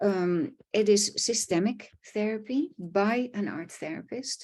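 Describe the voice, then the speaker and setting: Speaking at a very slow pace in a Dutch accent, a woman has a fairly high pitch, a dark, mellow tone, a somewhat breathy quality and lively intonation. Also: quiet background. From Netherlands. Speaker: art therapist. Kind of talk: online presentation. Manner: halting, with fillers.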